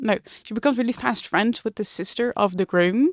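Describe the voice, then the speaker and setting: Speaking with a Dutch accent, a woman keeps a moderate pace and ordinary pitch variation. The recording is very clean, with a silent background. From Netherlands. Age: 20s. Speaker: book vlogger. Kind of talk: casual book review vlog. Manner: casual with many fillers.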